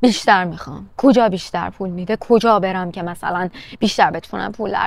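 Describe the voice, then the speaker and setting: Speaking at a very fast pace, a woman's voice sounds dry with no echo. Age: 30s. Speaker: vlogger. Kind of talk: casual vlog monologue. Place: garden. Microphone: lapel.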